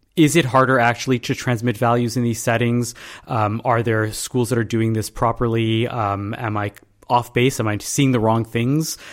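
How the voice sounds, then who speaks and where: A man with an ordinary speaking voice at medium pitch and a moderate pace. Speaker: podcast host. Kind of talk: interview.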